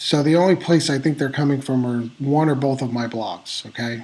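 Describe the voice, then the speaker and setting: The man talks at a fairly quick pace. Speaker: online business blogger and vlogger. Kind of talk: casual talking-head vlog monologue. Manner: halting, many fillers.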